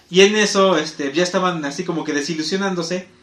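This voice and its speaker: A man with a Mexican accent speaks in a high, animated voice at a fairly quick pace. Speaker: podcast host. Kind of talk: casual chat.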